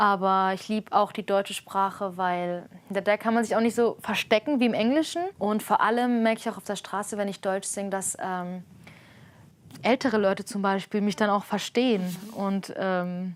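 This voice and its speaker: A woman with an Armenian accent at medium pitch and a moderate pace, with ordinary pitch variation, on a very clean recording with a silent background. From Germany. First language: Armenian (speaking German). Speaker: street musician. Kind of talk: interview. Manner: casual, hesitant with fillers.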